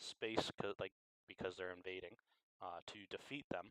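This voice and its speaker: The sound is dry and close with no echo as a man speaks in a very deep, low pitch. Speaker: game design livestream host. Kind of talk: livestream brainstorming monologue. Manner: mumbling at times; halting, thinking aloud.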